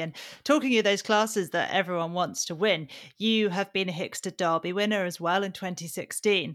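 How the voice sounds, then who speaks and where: A woman speaks with a British accent at a medium pitch. Her intonation stays fairly even. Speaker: podcast host and magazine editor. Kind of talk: interview and news round-up chat.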